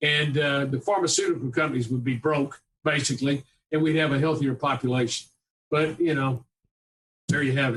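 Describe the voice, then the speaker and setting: A somewhat breathy male voice at a fairly quick pace. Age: 70s. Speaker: physician. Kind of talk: interview. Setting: podcast interview. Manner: animated.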